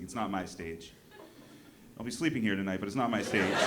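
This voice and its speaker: A man with an American accent speaks at a very fast pace and a fairly low pitch, with ordinary pitch variation. Noticeable background noise is present. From New Hampshire, US. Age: 40s. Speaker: comedian. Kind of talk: stand-up. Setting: stage with audience. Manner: animated.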